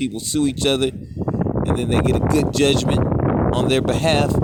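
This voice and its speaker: A loud man speaks at a moderate pace amid noticeable background noise and audible room echo. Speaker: street preacher. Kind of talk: sermon. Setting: outdoors.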